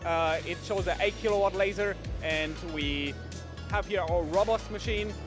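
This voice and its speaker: Over clear background music, the speech moves at a moderate pace in a dry sound with no echo. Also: man. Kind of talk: interview answer. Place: hall. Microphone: handheld.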